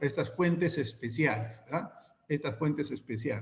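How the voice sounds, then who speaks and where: A man is speaking. His intonation is lively. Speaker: teacher. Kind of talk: online class lecture. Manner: fast.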